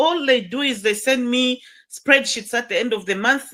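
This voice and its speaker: A woman projects a raised voice at a high pitch, bright and sharp in tone, with ordinary pitch variation. The recording is very clean, with a silent background. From Zambia, Kitwe, Copperbelt. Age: 60s. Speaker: former politician and school founder. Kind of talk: interview conversation.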